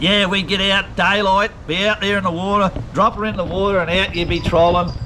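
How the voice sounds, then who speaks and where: A man with a strong Australian accent and a high pitch talks at a fairly quick pace in a flat monotone, with noticeable background noise. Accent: broad Australian. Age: 60s. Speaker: retired professional fisherman. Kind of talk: casual chat. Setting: at his home.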